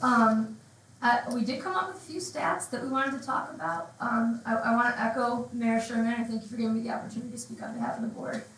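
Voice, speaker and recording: A woman's very fast speech at fairly high pitch, with ordinary pitch variation and big swings in loudness, amid audible room echo and noticeable background noise. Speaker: village board trustee. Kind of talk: public comment at town board meeting. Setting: council meeting with microphone.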